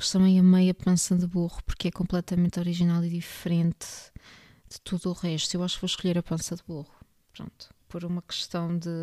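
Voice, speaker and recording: On a very clean recording with a silent background, a woman with a European Portuguese accent speaks at a fairly low pitch and a fairly quick pace, her intonation monotone and flat, her tone dark and mellow, her loudness swinging widely, all in a dry, close sound with no echo. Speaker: book podcast host. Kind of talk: casual monologue.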